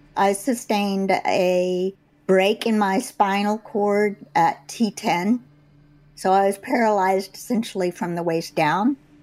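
In a very clean recording with a silent background, a woman at medium pitch talks very slowly with fairly even intonation. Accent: American. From Texas. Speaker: retired teacher and birder. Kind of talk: personal storytelling. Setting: at home.

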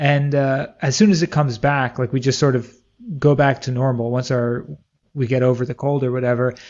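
A man talks with an American accent at a fairly quick pace, his pitch medium. It is an unremarkable speaking voice with fairly even intonation. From US. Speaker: podcast host. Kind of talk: interview.

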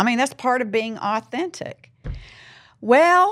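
A woman speaks in a Southern US accent. Her pace is fairly slow. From US South. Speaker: podcast host. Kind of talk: interview podcast. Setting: studio.

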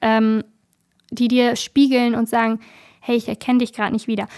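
Recorded dry and close with no echo against a silent background, a woman speaks at a moderate pace in a high pitch on a very clean recording. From northern Germany, Bremen. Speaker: activist, volunteer program leader. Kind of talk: interview.

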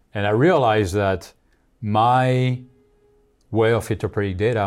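A man with a French accent, fairly low in pitch, with ordinary pitch variation and a moderate pace, on a very clean recording with a silent background. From France. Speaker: marketing executive. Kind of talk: interview.

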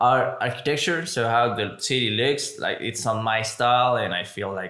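Noticeable background noise runs under this recording. A man speaks with a Spanish accent. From Mexico. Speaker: podcast host. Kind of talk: casual chat.

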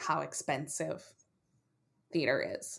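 A woman speaks at a very slow pace. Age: 30s. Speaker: comedian and playwright. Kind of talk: casual interview.

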